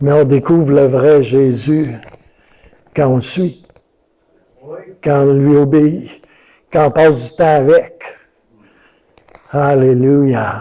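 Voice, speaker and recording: Pausing long and often, a man with a fairly high pitch speaks at a very slow pace. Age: 60s. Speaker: pastor. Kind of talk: sermon. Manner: animated.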